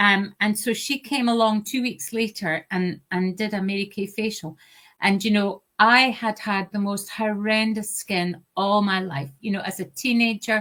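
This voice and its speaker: A woman with an Aberdeen accent speaks at medium pitch in a bright, sharp tone with fairly even intonation. Her pace is fairly slow with hardly any pauses, on a very clean recording with a silent background. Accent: Scottish (Aberdeen). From Scotland, Aberdeen. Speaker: sales director. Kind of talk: interview. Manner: deliberately slow.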